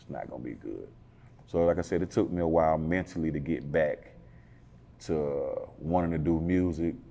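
The voice has an American accent and fairly even intonation at a moderate pace. Its loudness swings widely. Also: man, very deep, low pitch for a man. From Atlanta, northwest side. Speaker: rapper. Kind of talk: interview. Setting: studio. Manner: laid-back, conversational.

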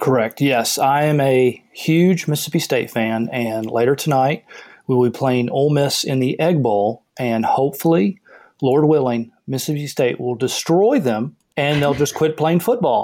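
In a Southern US accent, the speaker uses a dark, mellow tone at a moderate pace with ordinary pitch variation. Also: man, fairly high pitch for a man. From US South. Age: 30s. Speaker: caller seeking financial advice. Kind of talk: casual call-in conversation.

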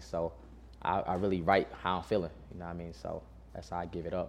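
A man's very deep, low voice with vocal fry and ordinary pitch variation. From North Carolina, Burlington. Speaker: rapper. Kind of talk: interview.

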